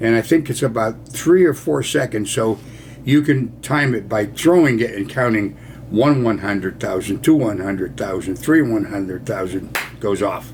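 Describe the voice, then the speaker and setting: A man speaks at a moderate pace with medium pitch and lively intonation, in an American accent. Noticeable background noise runs behind him. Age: 80s+. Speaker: war veteran. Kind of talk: storytelling. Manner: casual.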